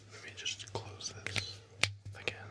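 Soft-spoken, a man delivers his words in a whisper. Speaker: ASMR creator. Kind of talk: soft role-play chat with the viewer. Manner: soft ASMR whisper close to mic. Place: home room. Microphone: studio mic.

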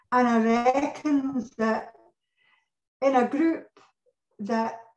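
A woman speaks at a fairly high pitch, with audible echo from the room. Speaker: catalogue sales representative. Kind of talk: casual chat. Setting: video call. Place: home room. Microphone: video call.

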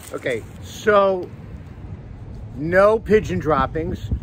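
Light background noise is present, and the sound is dry without any echo. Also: man. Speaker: food reviewer. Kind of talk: casual food review chat. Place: street. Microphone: phone near.

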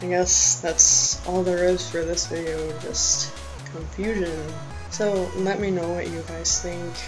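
Fairly slow speech with clear music in the background. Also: man. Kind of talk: casual talk to camera. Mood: unsure, reflective. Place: home room. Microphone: webcam.

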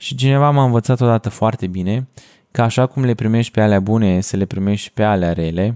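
Over a quiet background, a man speaks at a fairly quick pace in a dark, mellow tone. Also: ordinary pitch variation. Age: 20s. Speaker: podcast host and video editor; podcast host. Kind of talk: solo podcast monologue. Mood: calm, thoughtful. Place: home room. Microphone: studio mic.

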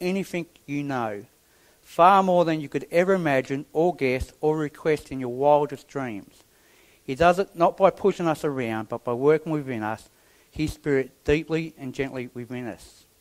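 Over a quiet background, a man speaks at a moderate pace with ordinary pitch variation and big swings in loudness. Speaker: preacher. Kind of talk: sermon. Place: church.

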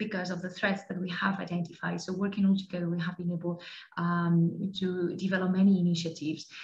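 A woman talks at a fairly quick pace with hardly any pauses. Her intonation is monotone and flat. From Spain. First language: Spanish. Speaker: law enforcement cooperation coordinator; webinar presenter. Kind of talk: presentation. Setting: online webinar. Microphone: headset.

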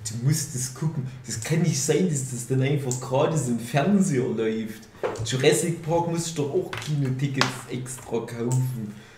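Against noticeable background noise and audible room echo, a man speaks at a fairly slow pace and medium pitch with ordinary pitch variation. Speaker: podcast host. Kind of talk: casual chat.

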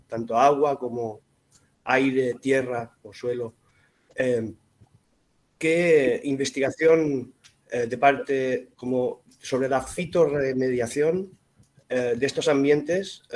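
With long, frequent pauses and fairly even intonation, a man speaks at a very slow pace. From Spain (Mallorca); Spain. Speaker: audience member. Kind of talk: audience question. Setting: video call. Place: home room. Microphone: video call.

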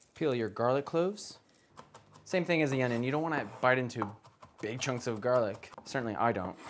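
A man at a fairly quick pace with lively intonation, over light background noise. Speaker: cooking video host. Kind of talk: cooking tutorial. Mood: playful, joking. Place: kitchen. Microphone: lapel.

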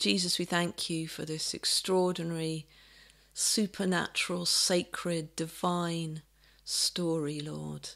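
Against a quiet background, a woman talks at a fairly low pitch. Her pitch varies an ordinary amount. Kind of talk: sermon and prayer. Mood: calm, gentle, reverent. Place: home room. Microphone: webcam.

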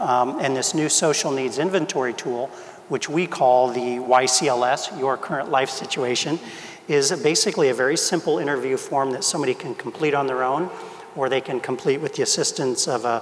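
Ordinary pitch variation marks this man's fairly quick delivery. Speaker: health system executive; panelist. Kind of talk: panel discussion. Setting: stage with audience. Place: hall.

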